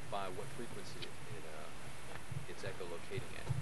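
A man speaks over loud background noise. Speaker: nature guide. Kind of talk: outdoor lecture to a tour group. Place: open country. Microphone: old recording.

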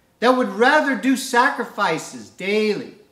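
Over a quiet background, a man talks at a moderate pace with audible room echo. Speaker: preacher. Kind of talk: sermon. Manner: fervent, animated, preaching with call-and-response 'Amen?'; earnest, devotional, uses prayer cadence. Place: home room. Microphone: camera far.

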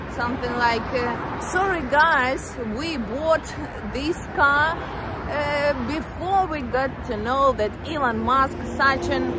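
Over crowd noise in the background, a woman speaks at a very slow pace in a dry sound with no echo. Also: ordinary pitch variation. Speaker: travel vlogger. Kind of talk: casual vlog chat. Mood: chatty, slightly mocking. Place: street. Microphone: phone near.

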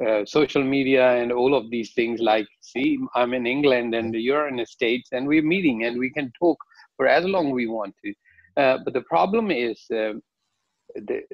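The background is quiet and the sound is dry, with no echo. A man speaks at a moderate pace with ordinary pitch variation. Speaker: guest. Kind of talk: interview answer. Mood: calm reflective. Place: home room. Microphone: video call.

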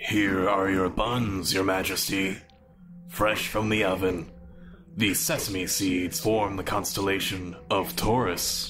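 A man puts on a character voice, pitched fairly low and delivered at a fairly slow pace. Clear music plays behind him. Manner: smug, gloating.

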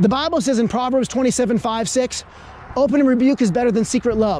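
A man talks at a fairly quick pace with an extremely high pitch. The sound is dry with no echo, and light background noise is present. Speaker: street preacher. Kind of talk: street preaching, debating a passer-by. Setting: outdoors. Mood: argumentative, preachy. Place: street.

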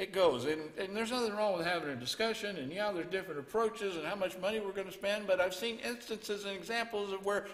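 A man with a high pitch speaks fairly quickly with ordinary pitch variation. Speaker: preacher. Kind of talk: sermon. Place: church. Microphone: headset.

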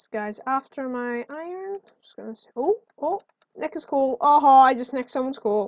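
At a moderate pace, a woman speaks in a high pitch with lively intonation, an animated tone and big swings in loudness, the sound dry and close with no echo. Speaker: gaming video creator. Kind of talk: gameplay commentary. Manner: excitable.

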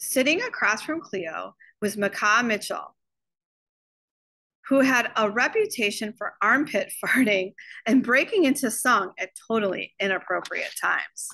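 A woman at medium pitch, with a bright, sharp tone, vocal fry, lively intonation and a fairly slow pace

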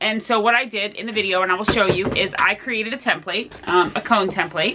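A woman talks at a fairly quick pace with ordinary pitch variation against noticeable background noise. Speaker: sewing channel host. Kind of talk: tutorial. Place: home room. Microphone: phone near.

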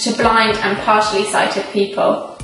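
Clear music sits behind a woman with a fairly high pitch. She speaks at a moderate pace with audible room echo. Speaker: auction house presenter. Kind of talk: charity promotional video presentation. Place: studio.

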